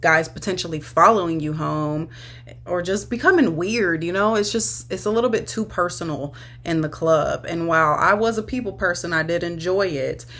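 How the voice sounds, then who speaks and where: A woman's fairly low voice with vocal fry, ordinary pitch variation and a moderate pace. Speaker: online sex worker and content creator. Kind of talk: casual talk-to-camera advice video.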